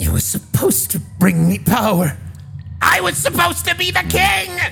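A man in a put-on character voice speaks at a moderate pace against clear background noise. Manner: bitter, defeated, grandiose.

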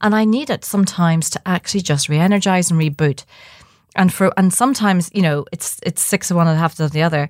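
Talking at a very fast pace in a Dublin accent, a woman with a fairly low pitch and ordinary pitch variation comes through dry and close with no echo, in a very clean recording with a silent background. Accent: Irish (Dublin). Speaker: journalist and midlife coach, podcast co-host. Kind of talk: casual chat.

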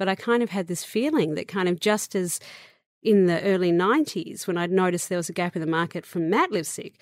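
With an Australian accent and a medium pitch, a woman talks at a fairly quick pace in a very clean recording with a silent background. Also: ordinary pitch variation. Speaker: beauty entrepreneur. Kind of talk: interview.

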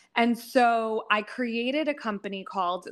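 In an unremarkable speaking voice with an American accent, the speaker shows ordinary pitch variation. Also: woman, very clean recording, silent background. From US, northeastern Pennsylvania. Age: 30s. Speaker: workshop facilitator and business coach. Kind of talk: casual interview.

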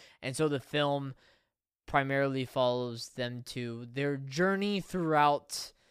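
In a very clean recording with a silent background, a man with an ordinary speaking voice talks at a fairly slow pace and medium pitch with ordinary pitch variation. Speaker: podcast host. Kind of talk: casual banter, movie review podcast. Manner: interrupts often, joking.

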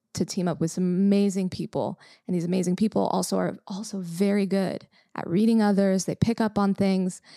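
The speaker has an American accent and a normal speaking voice at a fairly quick pace. The sound is dry and close with no echo. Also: woman. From Los Angeles, California. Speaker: company integrator, business operations leader. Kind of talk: casual chat.

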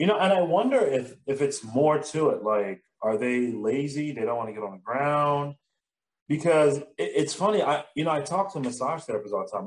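A man with an unremarkable speaking voice talks fairly quickly, his fairly high pitch rising and falling in lively intonation. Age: 30s. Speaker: massage therapist and business owner. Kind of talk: casual chat.

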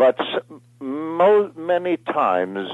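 His pitch rises and falls across a very wide range. The man speaks very slowly. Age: 70s. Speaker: actor and film director. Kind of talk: interview. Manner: halting.

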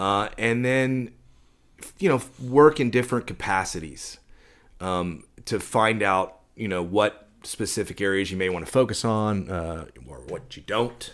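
A man with an American accent and an unremarkable speaking voice talks at a fairly slow pace and fairly low pitch, with big swings in loudness, on a very clean recording with a silent background. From Dallas, Texas. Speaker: concert promoter and talent buyer. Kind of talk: casual interview.

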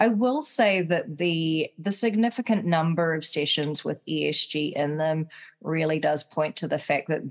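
Someone with a New Zealand accent speaks at a fairly slow pace over a quiet background. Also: woman. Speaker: podcast co-host, compliance professional. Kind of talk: casual chat.

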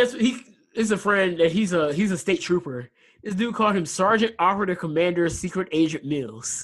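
This man talks at a fairly quick pace with a high pitch and lively intonation. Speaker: podcast host. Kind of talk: casual banter about football and sports. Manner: casual, animated, slangy.

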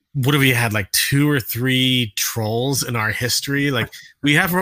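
Bright and sharp in tone, a man's fairly high-pitched voice comes through in a very clean recording with a silent background. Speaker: viewer or guest with TV production experience. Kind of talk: casual chat. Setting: live stream.

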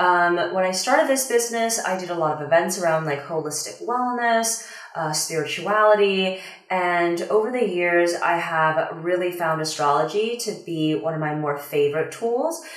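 In an American accent, a woman talks at a moderate pace with a fairly low pitch and lively intonation. There is audible room echo and noticeable background noise. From Washington DC area, US. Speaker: career astrologer and mindset coach. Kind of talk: casual interview chat. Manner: hesitant, many fillers.

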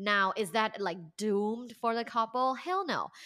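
A woman's fairly high, bright, sharp voice at a fairly slow pace, on a very clean recording with a silent background. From Thailand. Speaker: professor and sex educator. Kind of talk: interview.

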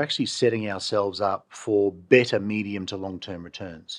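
Against a quiet background, a man with an Australian accent talks at a moderate pace. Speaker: chief economist. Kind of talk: casual interview chat.

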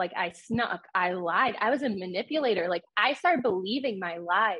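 Using ordinary pitch variation, a woman with a plain, everyday voice speaks at a moderate pace. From New York. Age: 20s. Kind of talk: testimony.

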